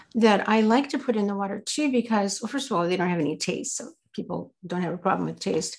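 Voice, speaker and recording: With an American accent, a woman talks at a very fast pace in a medium pitch, somewhat breathy, with lively intonation. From US South. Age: 70s. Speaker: show host, nutrition expert.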